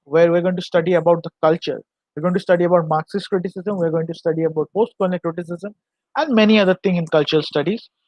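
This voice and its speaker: Talking at a very fast pace, a man with a high pitch keeps his intonation fairly even. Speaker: literature teacher. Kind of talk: lecture. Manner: halting.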